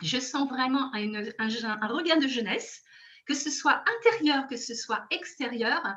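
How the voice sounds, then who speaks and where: An animated woman talks at a moderate pace in a bright, sharp tone. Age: 60s. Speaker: product testimonial guest. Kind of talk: testimony.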